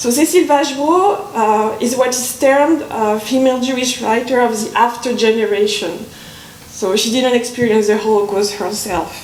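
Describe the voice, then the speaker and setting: At a moderate pace and with ordinary pitch variation, the voice comes through noticeable background noise and audible room echo. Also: woman, high pitch for a woman. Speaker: conference speaker, literature academic. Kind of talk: academic conference talk. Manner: halting, with hesitations.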